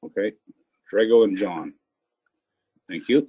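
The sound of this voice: A man talks at a slow pace with a fairly low pitch and a slightly husky edge. The sound is dry and close, with no echo. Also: ordinary pitch variation.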